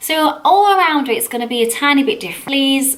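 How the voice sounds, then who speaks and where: A woman speaks with a Sheffield accent. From northern England, Sheffield. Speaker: makeup artist. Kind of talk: vlog introduction. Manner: casual, chatty.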